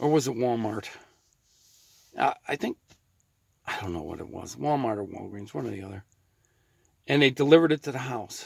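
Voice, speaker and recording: The speaker moves at a fairly quick pace with lively intonation, vocal fry and big swings in loudness. Long, frequent pauses break up the speech. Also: man, medium pitch for a man. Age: 60s. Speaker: vlogger. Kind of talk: casual monologue. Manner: halting.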